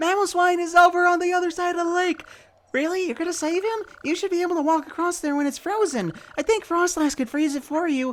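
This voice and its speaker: This is a put-on character voice, squeaky and extremely high in pitch. It races along at a very fast pace. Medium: game stream.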